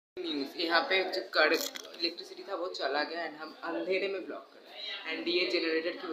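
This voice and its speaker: A man keeps a moderate pace while audible room echo and noticeable background noise surround his voice. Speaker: vlogger. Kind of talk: casual vlog chat. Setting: at home during family event, generator power.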